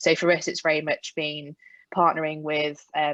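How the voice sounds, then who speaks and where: A woman with a very deep, low voice speaks at a moderate pace in a flat monotone, recorded dry and close with no echo against a quiet background. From UK. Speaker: HR executive. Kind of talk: panel discussion.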